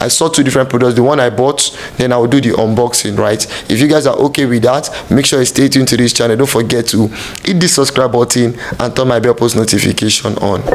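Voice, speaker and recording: A very fast male voice at medium pitch, very even in loudness, over noticeable background noise. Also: fairly even intonation. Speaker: YouTuber and street evangelist. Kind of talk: product review tutorial. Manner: casual, conversational.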